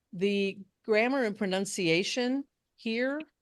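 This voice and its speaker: Against a quiet background, a woman with an American accent speaks at a fairly slow pace with lively intonation. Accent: Southern, comes out when she gets going. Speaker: speech contest judge trainer. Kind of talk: training workshop Q&A.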